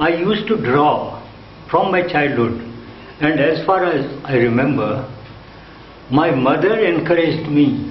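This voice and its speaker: A man's fairly high voice with lively intonation, a fairly slow pace, long, frequent pauses and very even loudness, plus audible room echo and noticeable background noise. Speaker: retired art teacher. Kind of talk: autobiographical interview talk. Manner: halting.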